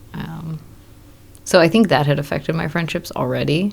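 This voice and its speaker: Here a woman speaks with an American accent. Her pace is moderate. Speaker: new mother and film boom operator. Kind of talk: casual interview chat. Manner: casual, filler-heavy.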